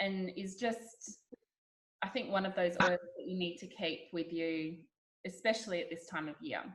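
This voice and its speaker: Fairly slow and somewhat breathy, the voice shows ordinary variation in pitch. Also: woman. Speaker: essential oils presenter. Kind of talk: webinar presentation.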